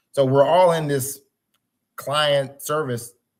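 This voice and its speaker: In an ordinary speaking voice, a man talks at a moderate pace with ordinary pitch variation. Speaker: cybersecurity consultant. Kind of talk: webinar presentation.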